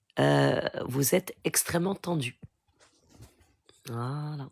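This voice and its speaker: Vocal fry in a woman's voice, pitch moving in an ordinary way. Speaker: spiritual healer. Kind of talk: live Q&A stream. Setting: live stream. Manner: soft-spoken.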